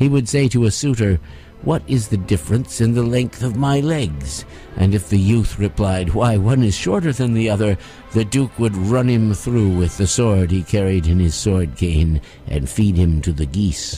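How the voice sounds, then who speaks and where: With music in the background, a man of fairly low pitch speaks at a moderate pace with lively intonation and very even loudness. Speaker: audiobook performer. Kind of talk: fairy tale reading.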